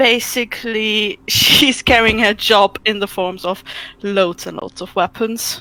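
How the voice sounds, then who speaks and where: Speaking at a very slow pace, a woman uses a fairly high pitch and fairly even intonation. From Germany. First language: German. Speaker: tabletop game player. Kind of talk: casual chat.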